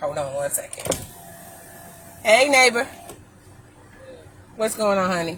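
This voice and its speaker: Speaking at a fairly slow pace with an American accent, very wide pitch swings and long, frequent pauses, the voice comes through noticeable background noise. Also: woman, fairly high pitch for a woman. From Ohio. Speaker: vlogger. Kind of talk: casual chat. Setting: in a car.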